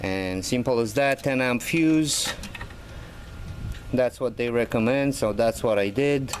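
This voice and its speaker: The speech moves at a fairly slow pace with long, frequent pauses, very even loudness and ordinary pitch variation. Noticeable background noise is present. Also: man, medium pitch for a man. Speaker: DIY car hobbyist. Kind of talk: tutorial. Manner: casual, hesitant with many fillers.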